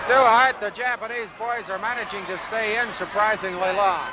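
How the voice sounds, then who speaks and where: Over loud background noise, a man with a high pitch speaks in a raised, projected voice at a moderate pace with ordinary pitch variation, the sound dry with no echo. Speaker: wrestling commentator. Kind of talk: live wrestling commentary, play-by-play of a battle royal. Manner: animated, awestruck at the giant, with dry humor and a laugh. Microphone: old recording.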